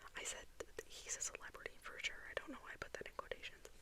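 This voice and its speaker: A woman whispers at a very fast pace over noticeable background noise. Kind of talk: ASMR magazine flip-through. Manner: whispered.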